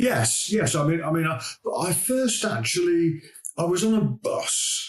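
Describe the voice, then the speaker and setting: With very wide pitch swings, a man speaks at a fairly slow pace. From Birmingham, England. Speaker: recruitment business founder. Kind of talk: interview. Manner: halting.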